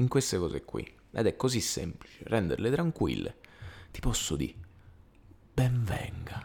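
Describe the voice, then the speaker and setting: Whispering, a man speaks at a fairly slow pace with long, frequent pauses. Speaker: podcast co-host. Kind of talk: casual chat. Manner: halting.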